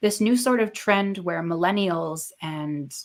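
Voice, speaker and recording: A woman talks at a moderate pace with lively intonation. She has an ordinary speaking voice. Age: 20s. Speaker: livestream host. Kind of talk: casual chat. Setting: livestream.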